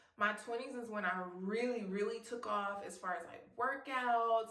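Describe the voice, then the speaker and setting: A woman speaks at a moderate pace in an animated tone with ordinary pitch variation, and the room echo is audible. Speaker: YouTube vlogger. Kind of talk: casual vlog talking to camera.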